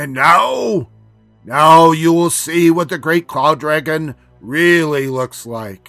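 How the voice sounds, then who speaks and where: A put-on character voice at a middle pitch, very slow, with faint music in the background. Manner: powerful, commanding.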